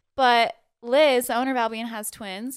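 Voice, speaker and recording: A woman speaks at a high pitch on a very clean recording with a silent background. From Utah, moved from Guam at about six. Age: 30s. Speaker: model. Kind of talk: casual chat.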